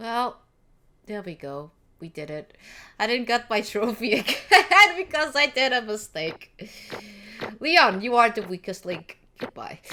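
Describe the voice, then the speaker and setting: Speaking in a Portuguese accent, a woman has a bright, sharp tone and fairly high pitch, with very wide pitch swings, a fairly slow pace and long, frequent pauses. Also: big swings in loudness. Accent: Portuguese accent in English, noticeable. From Portugal. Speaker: gaming streamer. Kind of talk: let's play commentary over game audio. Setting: livestream recording. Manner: casual, hesitant with fillers.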